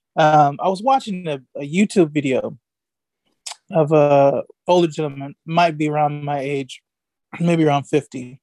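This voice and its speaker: A man's fairly high, dark and mellow voice with an American accent, fairly even in intonation, fairly slow, with long and frequent pauses. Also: dry, close sound with no echo. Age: 50s. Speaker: professor and political staffer. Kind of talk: casual chat.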